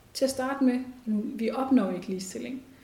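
A woman speaks with fairly even intonation. Some room echo is audible. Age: 30s. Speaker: women's rights organisation chair. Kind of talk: interview. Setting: organisation's office.

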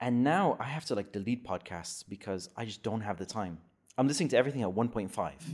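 Very fast and with lively intonation, a man talks at medium pitch. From Netherlands. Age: 30s. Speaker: podcast guest. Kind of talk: casual chat.

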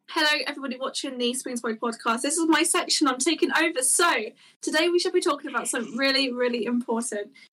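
A high-pitched woman with a British accent, her raised, projected voice bright and sharp at a very fast pace. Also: ordinary pitch variation. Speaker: podcast co-host. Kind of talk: casual banter among friends. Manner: joking, teasing.

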